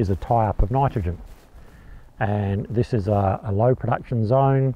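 A man speaks at a moderate pace with ordinary pitch variation, the sound dry with no echo. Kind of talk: explainer to camera. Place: farm machine. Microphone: lapel.

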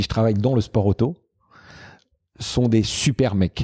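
Over a quiet background, a man speaks in a calm tone that is dark and mellow, fairly low in pitch, with ordinary pitch variation. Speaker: Formula 1 cameraman; podcast guest. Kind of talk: casual interview chat. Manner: usually fast-talking; calm, halting with many repetitions. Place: home room. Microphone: handheld.

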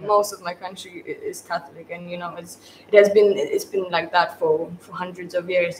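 A woman with a Polish accent and a fairly low pitch speaks at a moderate pace in a monotone, flat way, her loudness swinging widely over light background noise. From Poland. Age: 20s. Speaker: photography graduate. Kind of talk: panel discussion. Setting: livestream. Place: studio.

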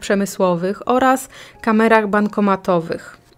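This woman has a plain, everyday voice with a fairly high pitch. She speaks at a fairly slow pace with ordinary pitch variation. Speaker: podcast host, true crime narrator. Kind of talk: true-crime narration, scripted-style storytelling. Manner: even, measured, matter-of-fact; informal, conversational asides.

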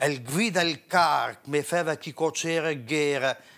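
This man speaks with a Parma accent. His pace is very slow. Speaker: poetry reciter. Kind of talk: dialect poetry reading. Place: studio. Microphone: lapel.

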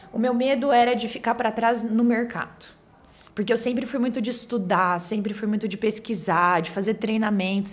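This woman's voice sits fairly high, with ordinary pitch variation, and she keeps to a moderate pace. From Brazil, Cuiabá, Mato Grosso; Mato Grosso, Brazil. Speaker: real estate agency director; podcast guest. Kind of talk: casual chat. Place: studio. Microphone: studio mic.

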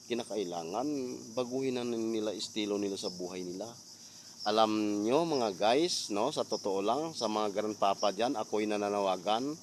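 Here is a man with an unremarkable speaking voice, fairly low in pitch. He keeps a moderate pace and ordinary pitch variation. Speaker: vlogger. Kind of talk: storytime vlog rant, preachy moral appeal. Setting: outdoors. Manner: earnest, scolding, hectic, fillers.

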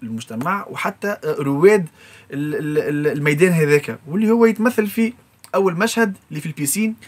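Lively intonation at a moderate pace from a man in a plain, everyday voice. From Tunisia, Sfax; Tunisia. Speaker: music composer and arranger. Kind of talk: interview. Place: studio.

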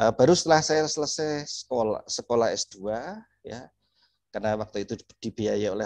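The background stays quiet. A male speaker talks at an even, middling speed. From Indonesia. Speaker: oceanographer, government researcher; guest. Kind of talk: interview. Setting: video call. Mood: cheerful, smiling. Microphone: video call.

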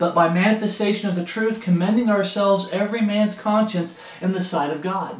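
A man speaks at a moderate pace in a high pitch, with audible room echo around him. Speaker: home Bible teacher. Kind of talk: Bible study teaching. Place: home room. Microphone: camera far.

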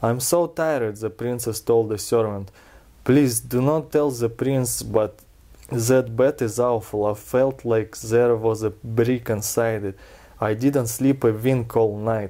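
At a fairly slow pace and medium pitch, a man with a Russian accent and a dark, mellow tone speaks with fairly even intonation against a quiet background. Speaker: reader of a fairy tale. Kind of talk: storybook reading. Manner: relaxed. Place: home room. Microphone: camera far.

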